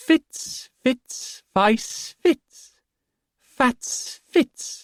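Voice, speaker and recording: Someone uses a high-pitched, put-on character voice. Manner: sing-song.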